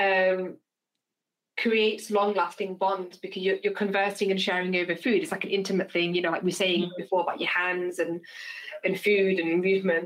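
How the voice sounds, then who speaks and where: A woman's fairly quick speech at medium pitch with monotone, flat intonation. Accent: British. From England. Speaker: podcast host. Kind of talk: casual chat.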